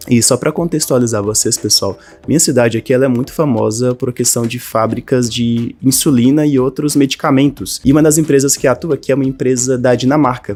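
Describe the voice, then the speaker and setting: A man talks at a fairly quick pace with hardly any pauses. His tone is dark and mellow, with fairly even intonation. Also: medium pitch for a man. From Brazil, northern Minas Gerais. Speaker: language teacher and online creator. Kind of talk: personal story monologue to camera. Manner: casual, conversational.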